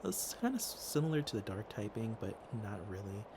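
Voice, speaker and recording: A soft-spoken man talks at a moderate pace. His pitch is fairly low, with ordinary variation. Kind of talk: ASMR ramble, casual chat to listener.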